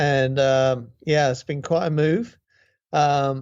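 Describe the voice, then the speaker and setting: A man with a British accent, a fairly high pitch, fairly even intonation, and a fairly slow pace. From Great Britain. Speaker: guitarist and songwriter. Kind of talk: interview. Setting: video call.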